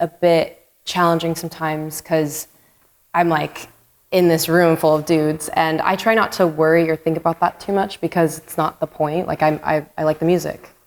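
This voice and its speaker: A plain, everyday voice from a woman, fairly low in pitch, at a moderate pace. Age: young. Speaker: punk band singer. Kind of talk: casual conversation.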